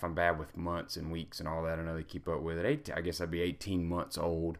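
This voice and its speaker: The recording is very clean, with a silent background. A man speaks at a very deep, low pitch. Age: 30s. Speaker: gaming and self-improvement blogger. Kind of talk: personal vlog monologue. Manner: casual, with many fillers.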